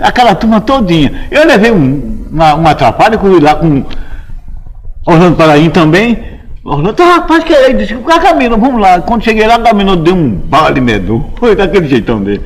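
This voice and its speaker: A man speaks at a high pitch with very wide pitch swings. Audible room echo and noticeable background noise surround him. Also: moderate pace. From Brazil, Olinda, Pernambuco. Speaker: composer. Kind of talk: oral history interview.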